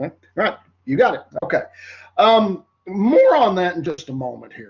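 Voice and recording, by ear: A man talks at a high pitch and moderate pace, nasal with a slightly husky edge. His pitch makes big swings.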